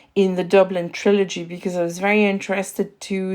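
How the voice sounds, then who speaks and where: A woman speaks with a slight French accent at a medium pitch. Her intonation stays flat and monotone over a very clean recording with a silent background. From France. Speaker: podcast host. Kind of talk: interview. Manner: halting.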